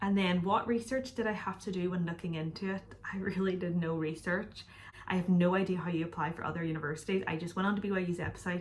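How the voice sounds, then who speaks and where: Noticeable background noise sits behind a woman with a Northern Irish accent. She talks at a very fast pace with a fairly low pitch and fairly even intonation. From Northern Ireland. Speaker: YouTuber. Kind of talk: casual Q&A vlog. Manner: chatty, casual.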